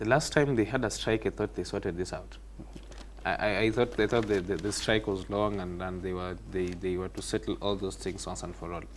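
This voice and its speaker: With a non-native accent, a man talks at a fairly quick pace in a very deep, low register, his intonation lively and his voice showing vocal fry. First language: not English. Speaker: TV morning show panelist. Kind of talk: studio news discussion. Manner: halting, repeats words.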